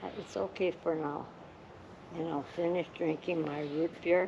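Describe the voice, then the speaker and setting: Against noticeable background noise, a woman with a fairly low pitch speaks at a very slow pace. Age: 80s+. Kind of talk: casual conversation.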